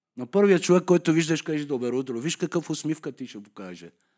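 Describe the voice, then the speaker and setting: Lively intonation at a moderate pace with a Persian accent, on a very clean recording with a silent background. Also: man. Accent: Persian accent in Bulgarian. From Iran, Tehran. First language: Persian (speaking Bulgarian). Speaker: guest speaker sharing his conversion story. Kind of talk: testimony.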